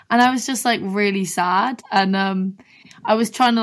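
In a southern English accent, the speaker keeps a fairly even intonation. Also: woman. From Brighton, England. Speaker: singer-songwriter. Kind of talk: casual chat.

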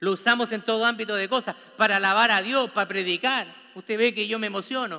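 Raised and projected, a man's voice runs at a very fast pace, high in pitch, with a bright, sharp tone. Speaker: pastor. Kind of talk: sermon. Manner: animated.

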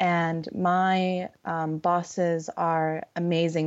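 With a Californian accent, a woman speaks at a fairly low pitch in a monotone, flat intonation. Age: young. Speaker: recruiter. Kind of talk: casual chat. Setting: video call. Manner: halting, many fillers.

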